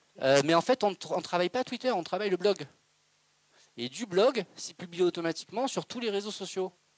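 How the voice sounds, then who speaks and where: Speaking at a fairly quick pace, a man with a high voice uses lively intonation over a dry, close sound with no echo. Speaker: presenter at a business breakfast talk. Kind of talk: Q&A answer at a talk. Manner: fast.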